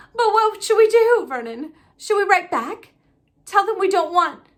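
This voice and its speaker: In a put-on character voice, a woman speaks at an extremely high pitch, shaky and with lively intonation. Her pace is moderate. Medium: read story. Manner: quivering.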